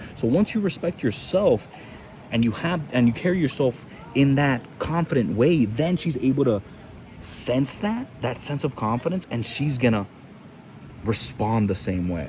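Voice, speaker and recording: Over noticeable background noise, a man talks at a moderate pace in a medium pitch, his voice making very wide pitch swings. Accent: Spanish. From Cuba. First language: Spanish. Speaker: fitness coach. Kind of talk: casual podcast chat.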